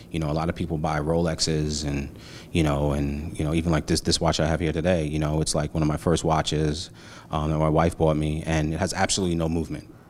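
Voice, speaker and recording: Talking at a very fast pace, a man with a New York accent has a very deep, low pitch. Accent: New York City. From Brooklyn, New York. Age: 40s. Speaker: marketing agency founder. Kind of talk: casual interview. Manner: animated.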